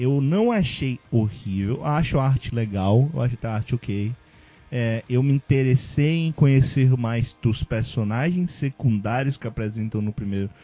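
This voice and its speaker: Over music in the background, the speaker goes at a fairly slow pace. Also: man, medium pitch for a man, ordinary pitch variation. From Ceará, Brazil. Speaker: podcast host. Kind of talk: casual chat.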